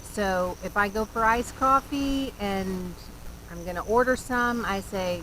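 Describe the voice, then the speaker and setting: Speaking in an American accent at a fairly slow pace, this voice has a bright, sharp tone and ordinary pitch variation. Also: woman. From US South, North Carolina. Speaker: vlogger. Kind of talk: casual vlog talk. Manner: animated, lots of inflection.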